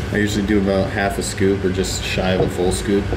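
A man talking at a moderate pace amid loud background noise. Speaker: fitness vlogger. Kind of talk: casual vlog chat. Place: gym.

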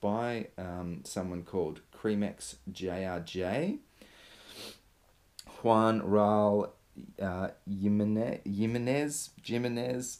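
This man's voice sits fairly low, with a slightly mellow tone and ordinary pitch variation.

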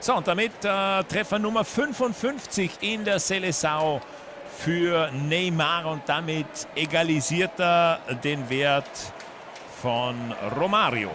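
High-pitched man at a very slow pace, with noticeable background noise. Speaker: football commentator. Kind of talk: live sports commentary of a football match; German-language match broadcast, Austrian viewpoint. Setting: stadium match broadcast.

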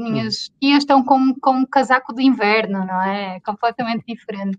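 Against a quiet background, a woman speaks at a moderate pace. Her pitch is fairly high, with ordinary variation. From Portugal. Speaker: interview guest. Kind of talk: interview answer. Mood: cheerful, smiling. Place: home room. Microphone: video call.

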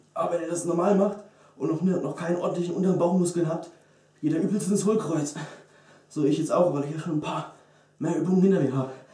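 Very fast and high-pitched, a man talks with fairly even intonation in a room with audible echo. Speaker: fitness vlogger. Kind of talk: tutorial. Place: gym. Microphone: camera far.

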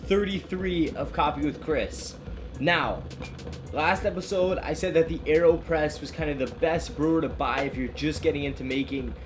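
Music in the background behind a man speaking at a moderate pace. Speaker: coffee shop owner host. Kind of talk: tutorial. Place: home room.

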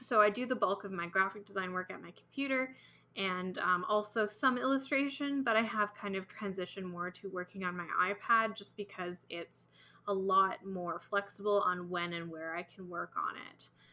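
A woman's bright, sharp tone at a moderate pace, with ordinary pitch variation and light background noise. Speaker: comic artist. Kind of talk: tutorial. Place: home room.

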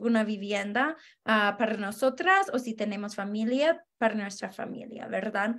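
A woman's fairly high voice at a fairly slow pace, with ordinary pitch variation, hardly any pauses and a quiet background. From Denver, Colorado, US; Colorado. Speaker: housing organizer; guest. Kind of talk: interview. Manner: halting, frequent um fillers. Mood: earnest, friendly. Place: home room. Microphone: video call.

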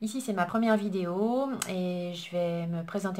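Fairly even in intonation, a woman speaks at a medium pitch over light background noise. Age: 40s. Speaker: beauty YouTuber. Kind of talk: casual vlog introduction. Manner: hesitant, with fillers. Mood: warm, a bit shy. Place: home room. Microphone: phone near.

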